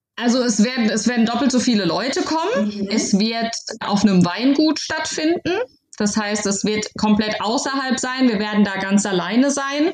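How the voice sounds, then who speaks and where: A woman talks at a moderate pace with lively intonation. She has an unremarkable speaking voice, fairly high in pitch. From Baden-Württemberg, Heidelberg area. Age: 30s. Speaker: new mother and bride. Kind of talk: casual interview.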